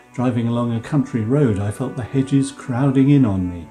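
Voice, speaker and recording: The voice moves at a fairly quick pace with ordinary pitch variation over music in the background. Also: man. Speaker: professor of English. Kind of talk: art history narration.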